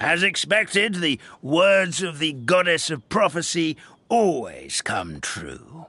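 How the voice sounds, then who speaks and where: A man puts on a high-pitched character voice, speaking fairly slowly with ordinary pitch variation. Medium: video game. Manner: hesitant, stammering.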